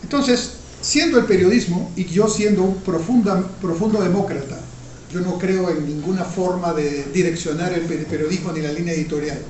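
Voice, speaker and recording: A high-voiced man speaks at a moderate pace with ordinary pitch variation, amid noticeable background noise and audible room echo. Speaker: economist, professor and former minister. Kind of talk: interview. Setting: video interview on camera.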